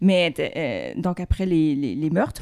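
The voice has a dark, mellow tone with ordinary pitch variation at a fairly slow pace. The recording is very clean, with a silent background. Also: woman. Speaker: author. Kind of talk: casual chat.

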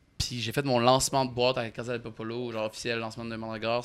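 In a very clean recording over a silent background, a man speaks at a medium pitch with monotone, flat intonation. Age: 20s. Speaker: music manager. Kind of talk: casual chat.

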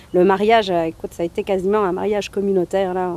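Heard in a dry, close sound with no echo, a woman of medium pitch talks at a very fast pace in a monotone, flat intonation. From northern France. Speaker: immigrant resident. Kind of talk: interview.

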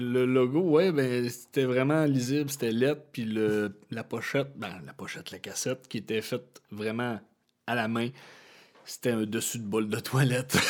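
A man speaks in a normal speaking voice at a medium pitch and a fairly slow pace, with ordinary pitch variation, on a very clean recording with a silent background. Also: big swings in loudness. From Quebec (Chibougamau). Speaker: musician. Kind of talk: casual chat.

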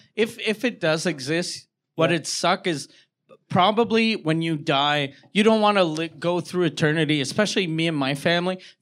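A man's high-pitched voice on a very clean recording with a silent background. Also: ordinary pitch variation, moderate pace. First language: French. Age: 40s. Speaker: stand-up comedian. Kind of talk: casual chat. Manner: animated.

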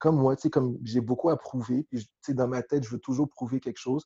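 A man's dark, mellow voice at a fairly quick pace with fairly even intonation, dry and close with no echo. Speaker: football coach. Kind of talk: interview.

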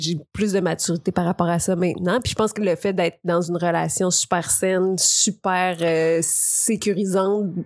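A woman's medium-pitched voice in a Quebec accent, monotone and flat, at very even loudness with hardly any pauses. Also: moderate pace. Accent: Québécois French. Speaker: columnist. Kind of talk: casual chat.

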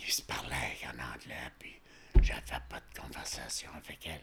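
Whispering fairly slowly, a man speaks amid noticeable background noise. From rural Quebec, Montmagny county. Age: 80s+. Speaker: retired tradesman. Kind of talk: life-story interview. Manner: halting.

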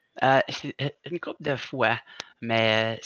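Bright and sharp in tone, a man speaks with fairly even intonation in a dry, close sound with no echo. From Quebec. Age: 40s. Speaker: stuntman. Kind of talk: casual interview chat.

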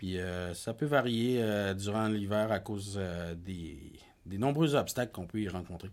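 Using a normal speaking voice, a man speaks at a moderate pace with fairly low pitch and ordinary pitch variation. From Quebec North Shore, Innu community. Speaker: podcast co-host. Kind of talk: casual chat.

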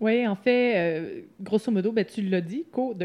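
At a fairly slow pace, a woman talks with ordinary pitch variation in an unremarkable speaking voice. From Quebec, Lanaudière. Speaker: co-founder of a coworking space. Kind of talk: interview.

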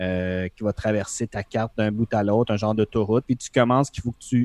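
A dark, mellow voice in a Quebec accent, with ordinary pitch variation and a moderate pace, in a dry, close recording with no echo and a quiet background. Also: man. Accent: Québécois French. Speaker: podcast co-host, gamer. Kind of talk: casual chat, game review.

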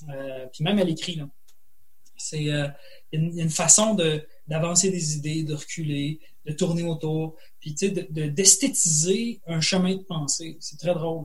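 A man speaks at a fairly slow pace with long, frequent pauses, his fairly high pitch showing ordinary variation. Audible room echo surrounds his voice. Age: 40s. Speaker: writer and college teacher. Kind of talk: interview. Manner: halting, many repetitions.

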